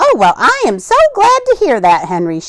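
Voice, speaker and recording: A woman puts on a squeaky character voice at an extremely high pitch. She talks at a moderate pace. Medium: read story. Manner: dry, prim, firm.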